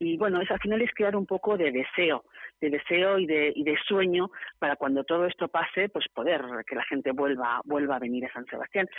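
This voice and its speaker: With lively intonation and a moderate pace, a woman speaks at a fairly low pitch. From Barcelona, Spain. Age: 50s. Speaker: city tourism councillor. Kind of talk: radio interview. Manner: animated.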